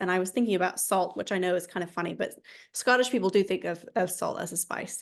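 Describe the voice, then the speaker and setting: A woman speaks in a normal speaking voice with an American accent. The background is quiet. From United States. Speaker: author. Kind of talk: interview.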